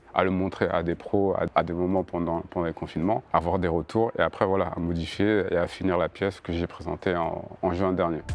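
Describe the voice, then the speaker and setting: A man with a very deep, low pitch talks at a fairly quick pace with monotone, flat intonation and hardly any pauses. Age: 30s. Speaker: choreographer and dancer. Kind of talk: interview answer. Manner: stutters.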